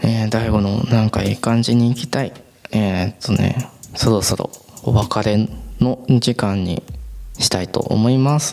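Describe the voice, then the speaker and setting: A man's medium-pitched voice at a fairly slow pace, with fairly even intonation and noticeable background noise. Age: 20s. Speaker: podcaster. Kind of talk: casual solo monologue. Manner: rambling, filler-heavy.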